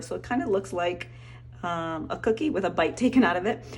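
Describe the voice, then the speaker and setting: A woman at a fairly quick pace, music playing in the background. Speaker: art teacher. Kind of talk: tutorial. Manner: fast.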